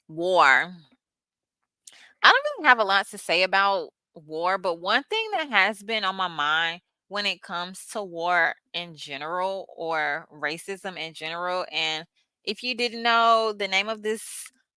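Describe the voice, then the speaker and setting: At a fairly slow pace, a woman speaks with a bright, sharp tone at a medium pitch and ordinary pitch variation. The recording is very clean with a silent background, the sound dry and close with no echo. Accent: American. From United States. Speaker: YouTuber. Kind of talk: casual livestream monologue. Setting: early-morning livestream. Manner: halting, repetitive.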